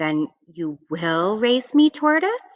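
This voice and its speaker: A put-on character voice with very wide pitch swings. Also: woman, high pitch for a woman. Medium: read story. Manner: teasing, cocky.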